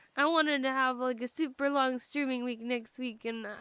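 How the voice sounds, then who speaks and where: A woman speaks in a raised, projected voice that is high-pitched with a bright, sharp tone. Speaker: video game streamer. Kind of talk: casual live stream chat while gaming.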